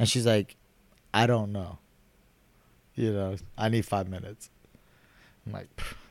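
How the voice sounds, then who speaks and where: A man with an American accent speaks at a fairly low pitch and moderate pace. His delivery is monotone and flat, with long, frequent pauses. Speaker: city council candidate. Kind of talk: casual chat.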